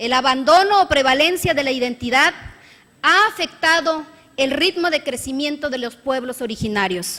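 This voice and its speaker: Raising and projecting her voice over noticeable background noise, a woman with a high pitch talks at a moderate pace with lively intonation. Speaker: state legislator. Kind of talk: parliamentary speech. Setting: legislative chamber. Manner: formal.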